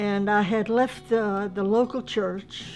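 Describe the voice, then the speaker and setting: Music plays in the background as a woman speaks at a very slow pace. Her medium-pitched voice keeps a fairly even intonation. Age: old. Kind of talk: personal testimony.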